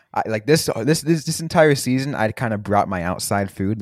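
On a very clean recording with a silent background and a dry, close sound with no echo, a man in an ordinary speaking voice talks at a moderate pace with lively intonation. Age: 20s. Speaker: hockey podcast host. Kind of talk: casual chat. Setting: studio.

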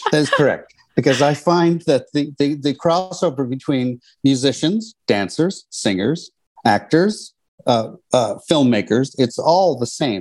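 An unremarkable speaking voice from a man, fairly slow, with lively intonation and very even loudness. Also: fairly high pitch for a man. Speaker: cinematographer and director. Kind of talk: casual chat. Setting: video call.

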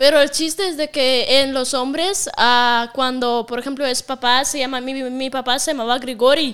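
Speaking at a moderate pace with hardly any pauses, a woman with a Russian accent holds a high pitch and fairly even intonation in a very clean recording with a silent background. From Russia (Siberia). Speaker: content creator. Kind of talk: casual chat.

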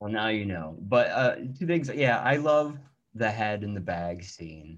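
Using a normal speaking voice, a man with a fairly low pitch speaks at a fairly slow pace with lively intonation. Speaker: podcast host. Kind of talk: casual interview.

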